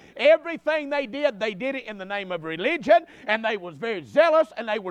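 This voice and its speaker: In a Southern US accent, a man talks at an extremely high pitch with very wide pitch swings and an animated tone, the sound dry and close with no echo. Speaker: preacher. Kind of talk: sermon at tent revival. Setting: church tent revival with live congregation. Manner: animated, pulpit-style exhortation, direct and blunt; conversational and folksy, with repeated asides to the crowd.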